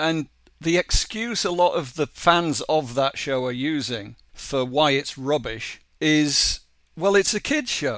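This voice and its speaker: In a very clean recording with a silent background, a man with an English accent talks very slowly in a fairly high voice with lively intonation. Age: 50s. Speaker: animation co-creator. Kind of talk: interview.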